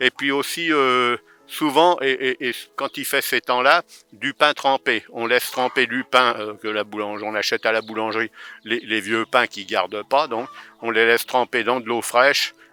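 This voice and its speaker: Delivered at a moderate pace, a man's voice sits at a medium pitch with a bright, sharp tone and fairly even intonation. The sound is dry and close, with no echo. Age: 70s. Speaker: retired farmer keeping poultry. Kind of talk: guided farm tour for children. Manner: hesitant, many fillers and repeats.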